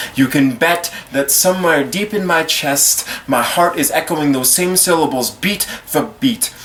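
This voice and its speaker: A man's fairly high voice at a fairly slow pace, hardly any pauses, ordinary pitch variation, and noticeable background noise. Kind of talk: slam poetry performance.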